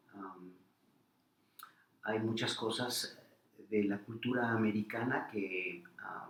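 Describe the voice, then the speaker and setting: Amid audible room echo, a man with a central Mexican accent speaks very slowly at a medium pitch, with ordinary pitch variation and long, frequent pauses. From Mexico, Puebla. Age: 60s. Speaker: interviewee, immigrant academic. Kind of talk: interview.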